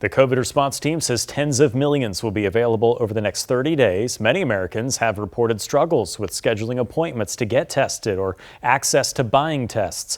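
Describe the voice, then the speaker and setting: On a very clean recording with a silent background, a man with a plain, everyday voice and medium pitch talks at a fairly quick pace with hardly any pauses and ordinary pitch variation. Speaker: local TV news anchor. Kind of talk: television news anchor delivery.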